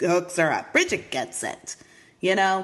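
At a fairly slow pace, a woman speaks at a medium pitch in a plain, everyday voice. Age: 40s. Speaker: podcast host. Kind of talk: casual chat.

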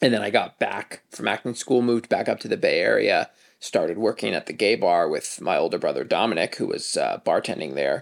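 A man talks fairly quickly in a very clean recording where the background is silent. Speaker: podcast co-host. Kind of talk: casual chat.

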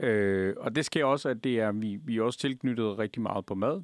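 Speaking at a fairly slow pace, a man with an unremarkable speaking voice and a fairly low pitch uses ordinary pitch variation, recorded dry and close with no echo against a quiet background. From Afghanistan. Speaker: restaurant owner. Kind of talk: interview.

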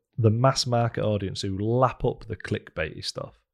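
A plain, everyday voice, showing ordinary pitch variation, comes through on a very clean recording against a silent background. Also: man. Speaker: podcast host. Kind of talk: casual interview chat.

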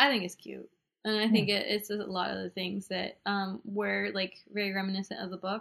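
A woman talks at a fairly quick pace. Her pitch sits in the medium range. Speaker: podcast segment co-host. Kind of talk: casual chat. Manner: soft-spoken.

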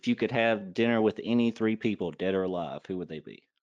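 With an American accent, a man talks at a very fast pace in a fairly low pitch with ordinary pitch variation, the sound dry and close with no echo and the background quiet. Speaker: podcast host. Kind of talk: casual interview chat.

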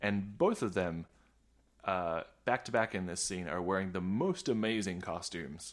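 Recorded very cleanly against a silent background, a man speaks with a very deep, low pitch and fairly even intonation. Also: moderate pace. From Australia. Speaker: podcast guest, film discussion. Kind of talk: casual chat.

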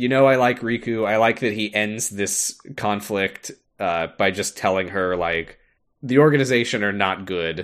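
Against a quiet background, the speaker has an unremarkable speaking voice. The delivery is fairly slow with lively intonation. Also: man. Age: 20s. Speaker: podcast co-host. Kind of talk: casual chat.

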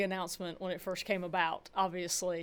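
A woman speaks with a fairly low pitch at a fairly quick pace. The recording is very clean, with a silent background. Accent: Southern US. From rural Georgia, US South. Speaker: college softball head coach. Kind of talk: interview.

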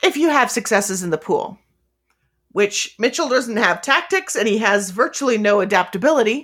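At a moderate pace, a woman speaks with a fairly high pitch and very wide pitch swings. The recording is very clean and the background silent. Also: very even loudness. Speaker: player and guest. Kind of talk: actual play roleplaying game, in character. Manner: casual, conversational, laughs often.

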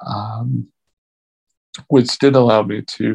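Very slowly, a man talks with a very deep, low pitch and vocal fry. His pitch swings very widely. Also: dry, close sound with no echo. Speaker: podcast co-host. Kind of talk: casual interview chat.

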